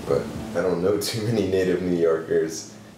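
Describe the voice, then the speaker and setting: A man is speaking in a room with audible echo. Noticeable background noise runs under his voice. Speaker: interviewee, model maker. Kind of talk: interview answer. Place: home room.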